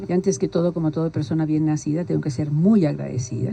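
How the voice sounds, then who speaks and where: Talking at a very fast pace, a woman has a very deep, low voice. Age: 80s+. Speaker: community leader. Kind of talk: interview.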